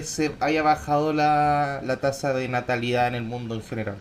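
A man with a fairly high pitch talks in a normal speaking voice with ordinary pitch variation. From Chile, Temuco area. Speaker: podcast co-host. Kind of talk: casual chat.

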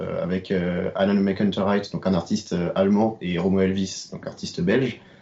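Here a man speaks at a fairly low pitch. His pitch varies an ordinary amount. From Brittany, France (Rennes). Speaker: podcast co-host. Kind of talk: interview. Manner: hesitant.

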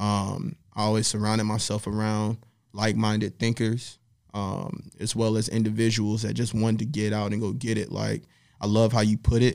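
With an American accent and a plain, everyday voice, this man talks at a moderate pace and fairly low pitch on a very clean recording with a silent background. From US South. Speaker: creative strategist. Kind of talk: casual interview.

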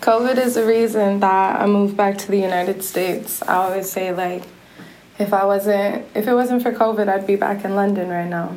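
A woman's medium-pitched voice with an American accent, at a moderate pace and fairly even intonation, over noticeable background noise.

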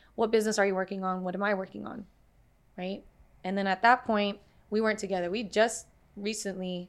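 Her voice sits at a medium pitch for a woman, delivered with monotone, flat intonation. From US, Puerto Rican and Dominican family. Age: 20s. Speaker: creative freelancer. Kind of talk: casual chat.

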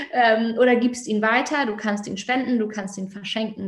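This woman has an ordinary speaking voice at a medium pitch. She speaks at a moderate pace. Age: 30s. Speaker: fashion label founder. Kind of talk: podcast interview.

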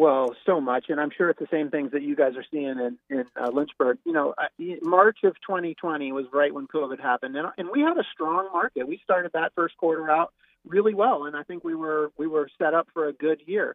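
A man speaks with an American accent in a normal speaking voice, his pitch fairly high. His pitch variation is ordinary and his pace moderate. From Charlotte, North Carolina. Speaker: real estate broker. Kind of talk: radio interview. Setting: remote call.

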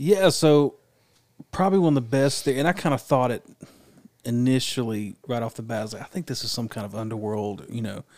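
A man with an unremarkable speaking voice talks at a fairly quick pace in a medium pitch, his intonation lively and his loudness swinging a lot. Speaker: podcast co-host. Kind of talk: casual chat.

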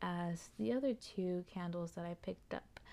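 On a very clean recording with a silent background, a woman speaks with an American accent. Her tone is dark and mellow. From Texas. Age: 20s. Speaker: podcast host. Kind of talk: casual solo monologue. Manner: expressive.

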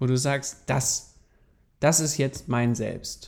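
In a dark, mellow tone, a man speaks very slowly. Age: 30s. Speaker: podcast co-host. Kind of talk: casual chat.

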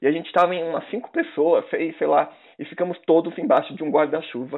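Here a man speaks at a high pitch. His pace is fairly quick. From Brazil, countryside. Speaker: podcast host. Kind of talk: casual chat. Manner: laughing often.

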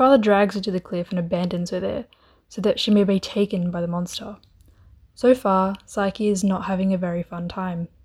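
A woman speaks at a fairly quick pace with a playful tone and a somewhat breathy voice at medium pitch. Her intonation is fairly even, on a very clean recording with a silent background. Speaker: student editor retelling a myth. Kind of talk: scripted fairy-tale myth narration with wry modern asides. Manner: storyteller's flow, playful and dryly humorous, with sarcastic quips; chatty, casual and laughing, modern slang.

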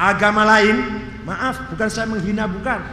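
Audible room echo and noticeable background noise accompany this recording. A man speaks in a raised, projected voice at a high pitch. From Cirebon, West Java. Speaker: Islamic preacher and professor. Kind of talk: religious lecture. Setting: mosque.

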